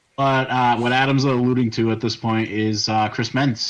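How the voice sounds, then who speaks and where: The man's medium-pitched voice has a monotone, flat intonation. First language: Portuguese. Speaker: podcast co-host. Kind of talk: casual chat. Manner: halting, many fillers and restarts.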